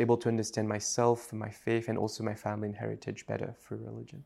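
A man speaks very fast with a French accent. His medium-pitched voice has monotone, flat intonation. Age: 20s. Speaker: writer and religion scholar. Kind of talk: casual interview. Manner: casual, hesitant with fillers.

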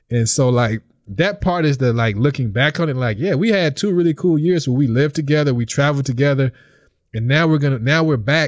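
A man with a Mississippi accent talks at a fairly quick pace and fairly high pitch, with ordinary pitch variation and very even loudness, on a very clean recording with a silent background. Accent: US Southern (Mississippi). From Mississippi (Vicksburg). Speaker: visiting professor and PhD candidate. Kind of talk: casual interview.

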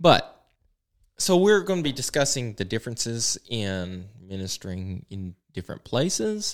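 Recorded very cleanly over a silent background, a man at medium pitch with an Appalachian accent talks at a moderate pace, with very wide pitch swings and big swings in loudness. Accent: Appalachian Southern US. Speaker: pastor and podcast host. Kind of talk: casual chat. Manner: informal, off the cuff with many fillers.

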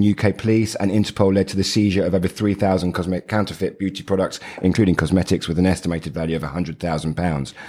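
Very fast speech from a man with a very deep, low pitch over noticeable background noise. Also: hardly any pauses. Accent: British. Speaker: podcast host. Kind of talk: scripted intro then casual chat.

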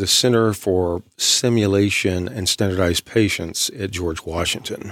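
A man with an unremarkable speaking voice talks at a fairly slow pace in a fairly low pitch, with ordinary pitch variation. The recording is very clean, with a silent background. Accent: American. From East Texas. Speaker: author and creative writing professor. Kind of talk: radio interview.

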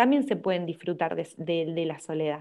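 The speaker is a woman. She has a Córdoba Argentine accent. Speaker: social media content creator. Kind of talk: casual interview chat. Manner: talkative.

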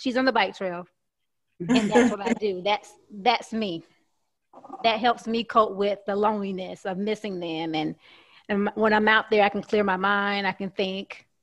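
A woman with a Southern US accent speaks at medium pitch and a moderate pace. Her intonation stays fairly even. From US South, Alabama. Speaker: guest panelist. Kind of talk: casual group chat. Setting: video call.

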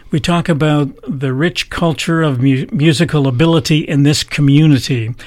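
In a Canadian accent, an unremarkable speaking voice moves with ordinary pitch variation and hardly any pauses. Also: man, fairly high pitch for a man, moderate pace. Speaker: podcast host. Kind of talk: interview. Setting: radio studio.

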